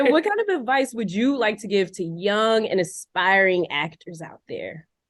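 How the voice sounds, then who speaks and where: A woman's unremarkable speaking voice with an American accent, fairly high pitch, lively intonation, big swings in loudness, and a moderate pace. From Philadelphia, US. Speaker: podcast host. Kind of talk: interview. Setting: video call.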